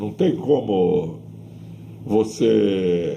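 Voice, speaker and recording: Room echo can be heard. The man speaks very slowly. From Brazil, Santos. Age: 80s+. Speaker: retired weightlifting coach and physiotherapist. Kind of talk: oral history interview.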